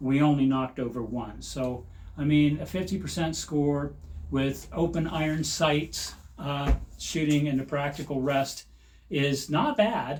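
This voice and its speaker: At a fairly slow pace, a man speaks in a fairly high, somewhat breathy voice with ordinary pitch variation. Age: 60s. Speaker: shooting hobbyist channel host. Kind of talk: narrated video commentary. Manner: halting with many fillers.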